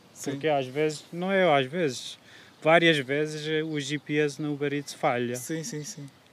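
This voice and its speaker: This man's pitch is fairly high. He talks at a fairly slow pace with fairly even intonation. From Kurdistan, Turkey. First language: Kurdish or Turkish (speaking Portuguese). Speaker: food delivery courier. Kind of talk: casual chat. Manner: halting.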